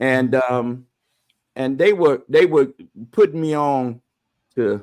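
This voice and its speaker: A man with a medium pitch speaks at a very slow pace, his intonation lively. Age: 60s. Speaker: bishop and show host. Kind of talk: casual chat. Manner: halting, many repetitions; animated.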